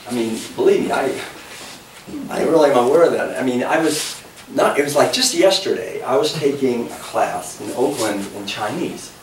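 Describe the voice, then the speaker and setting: A man with an American accent amid noticeable background noise and audible room echo. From New England (Massachusetts). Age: 60s. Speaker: author and speaker. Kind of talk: public talk. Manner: animated.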